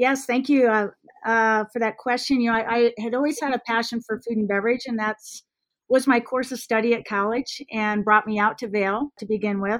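A plain, everyday voice with an American accent, fairly even intonation, and a moderate pace, on a very clean recording with a silent background. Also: woman, fairly high pitch for a woman. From US Midwest, Iowa. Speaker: ski resort executive. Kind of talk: interview.

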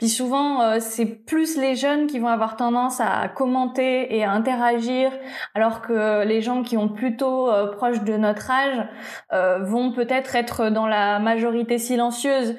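Speaking at a very slow pace, a woman keeps a high pitch, fairly even intonation and very even loudness. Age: 20s. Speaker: YouTuber and tattoo studio owner. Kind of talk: casual interview.

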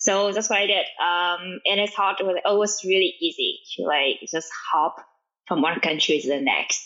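A woman speaks with a Vietnamese accent. Her voice has a medium pitch and ordinary pitch variation. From Vietnam, small village. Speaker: machine learning engineer and startup founder. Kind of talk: interview. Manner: fast.

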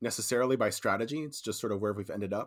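On a very clean recording with a silent background, a man with a Californian accent speaks at a medium pitch with ordinary pitch variation. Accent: Californian American. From California, San Francisco Bay Area. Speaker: real estate developer. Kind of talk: casual interview chat.

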